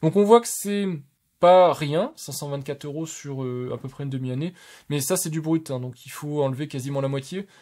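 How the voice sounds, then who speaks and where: On a very clean recording with a silent background, a man with a fairly high pitch and a dark, mellow tone speaks at a moderate pace, with ordinary pitch variation and big swings in loudness. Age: 30s. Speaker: tech YouTuber. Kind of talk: casual video review of channel statistics. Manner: hesitant, many fillers.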